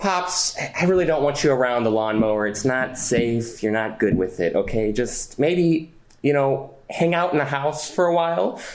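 A man with an unremarkable speaking voice talks at a moderate pace in a fairly high pitch, with lively intonation and hardly any pauses. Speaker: animator and voice actor. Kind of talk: casual interview chat.

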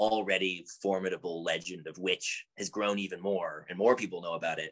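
A man speaks at a moderate pace with a Canadian accent. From Canada, Edmonton. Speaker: musician. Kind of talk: casual chat. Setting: video call.

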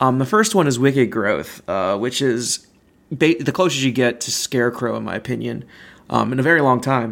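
At a moderate pace, a man of medium pitch talks in a relaxed tone. Vocal fry runs through his voice. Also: ordinary pitch variation. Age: 30s. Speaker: theme park podcast host. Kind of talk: casual solo chat over a beer. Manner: relaxed, filler-heavy.

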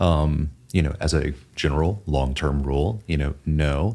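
A man talks in a very deep, low pitch with vocal fry. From US South, Texas and Southeast. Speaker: financial advisor. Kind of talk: casual chat.

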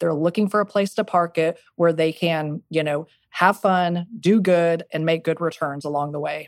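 In an American accent, a woman with an unremarkable speaking voice and a fairly low pitch talks at a moderate pace with hardly any pauses and fairly even intonation, on a very clean recording with a silent background and a dry, close sound with no echo. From Texas Panhandle. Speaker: venture capitalist. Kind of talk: interview.

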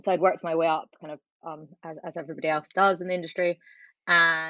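This woman speaks with an Edinburgh accent. Her pitch is fairly low. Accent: Scottish (Edinburgh). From Scotland, Edinburgh. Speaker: TV producer and charity founder. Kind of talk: interview.

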